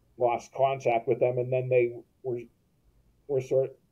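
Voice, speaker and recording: A man's somewhat breathy voice at medium pitch. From US West Coast, Los Angeles. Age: 60s. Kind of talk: interview. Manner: halting, many repetitions and self-corrections.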